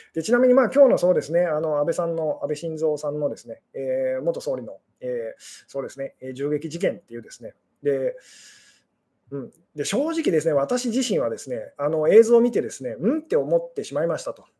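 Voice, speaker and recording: A man's fairly high voice carries a dark, mellow tone, with very wide pitch swings and big swings in loudness. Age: 40s. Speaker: fortune teller and love psychology streamer. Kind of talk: solo live stream talk. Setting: live stream. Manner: fast. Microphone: unstable connection.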